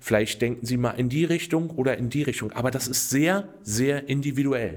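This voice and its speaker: At a moderate pace, a man speaks with a fairly high pitch in an unremarkable speaking voice. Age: 50s. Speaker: customer service manager and lottery winner adviser. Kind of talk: interview.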